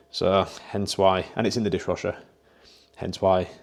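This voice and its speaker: The very clean recording with a silent background carries a dark, mellow tone at a moderate pace. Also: man. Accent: British. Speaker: online fitness coach. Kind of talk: casual vlog narration.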